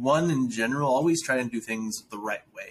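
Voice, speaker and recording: Talking at a very fast pace with lively intonation, a man at medium pitch speaks with an American accent. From South Dakota, US. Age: 20s. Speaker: founder and nonprofit director. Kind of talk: interview conversation. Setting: remote call.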